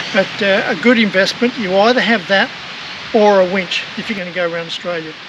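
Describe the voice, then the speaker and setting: The speech moves at a fairly quick pace amid noticeable background noise. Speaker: travel vlogger. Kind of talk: casual tutorial. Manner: hesitant, many fillers; loud.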